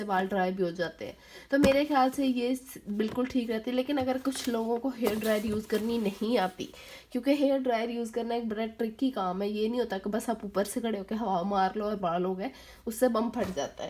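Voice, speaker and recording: With noticeable noise in the background, a woman talks at moderate speed, her intonation fairly even. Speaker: beauty vlogger. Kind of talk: tutorial. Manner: casual, hesitant with fillers.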